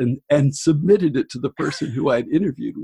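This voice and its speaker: A man's fairly high, somewhat breathy voice at a fairly quick pace, with lively intonation and a dry, close sound with no echo. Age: 60s. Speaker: book editor and author. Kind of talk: interview conversation.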